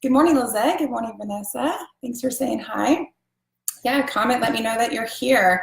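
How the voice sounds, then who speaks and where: Through audible room echo, a woman talks at a moderate pace in a high pitch with ordinary pitch variation. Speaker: essential oils seller. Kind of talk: live stream class. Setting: live video stream. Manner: casual, filler words.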